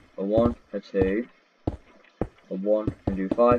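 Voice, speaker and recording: Over noticeable background noise, a man speaks in a monotone with flat intonation and a fairly low pitch. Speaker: Minecraft tutorial creator. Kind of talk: tutorial. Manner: counting aloud, repetitive.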